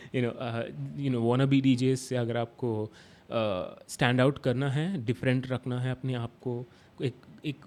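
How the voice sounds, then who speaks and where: With a Hyderabadi accent, a man speaks in a medium pitch with fairly even intonation. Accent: Hyderabadi Hindi. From India, Hyderabad. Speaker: DJ instructor. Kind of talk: tutorial. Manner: halting, many fillers and restarts; Hindi-English code-switching.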